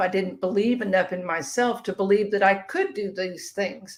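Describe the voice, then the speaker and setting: This woman has a normal speaking voice with a medium pitch. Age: 60s. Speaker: author and weight-loss guest. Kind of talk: interview.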